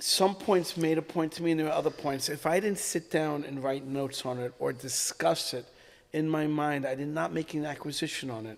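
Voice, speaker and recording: This man speaks at a fairly quick pace in a normal speaking voice. His pitch is fairly high, with ordinary variation. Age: 60s. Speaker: rabbi. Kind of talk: casual chat.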